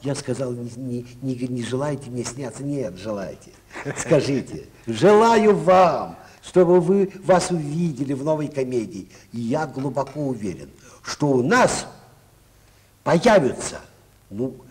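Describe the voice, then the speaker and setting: Over light background noise, a man with a fairly high pitch and lively intonation speaks at a very slow pace, with long, frequent pauses and big swings in loudness. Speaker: film actor interviewed on TV. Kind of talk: interview answer, anecdotal. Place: studio. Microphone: old recording.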